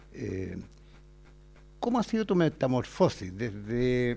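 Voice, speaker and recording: A man's dark, mellow tone with a Chilean accent. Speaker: university advertising teacher hosting podcast. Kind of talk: casual interview.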